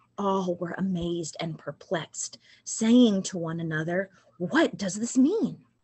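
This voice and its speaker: The speaker is a woman with a somewhat breathy voice. She talks very slowly. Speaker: liturgist. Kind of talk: reading aloud. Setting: church. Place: home room. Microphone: webcam.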